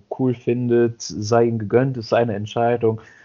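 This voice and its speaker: At a moderate pace, a man with a medium pitch talks in an ordinary speaking voice. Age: 30s. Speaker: podcast co-host. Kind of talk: casual chat.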